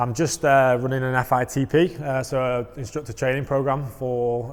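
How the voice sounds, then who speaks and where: Monotone, flat intonation in a strong Mancunian accent. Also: man. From northern England, Manchester (Wythenshawe). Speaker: wind tunnel flying instructor trainer. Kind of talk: casual interview.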